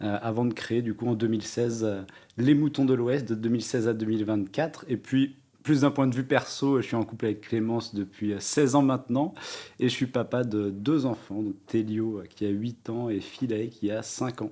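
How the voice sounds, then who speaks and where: A man speaks at a moderate pace in a dark, mellow tone with medium pitch and fairly even intonation. The recording is very clean, with a silent background. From France, Mayenne. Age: 30s. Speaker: entrepreneur. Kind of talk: interview.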